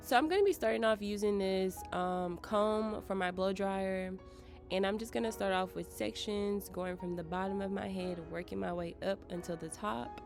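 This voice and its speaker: With an American accent, a woman talks at a moderate pace and medium pitch with ordinary pitch variation, music playing in the background. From United States. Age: 20s. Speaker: beauty vlogger. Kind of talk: hair tutorial talk to camera. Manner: casual, chatty.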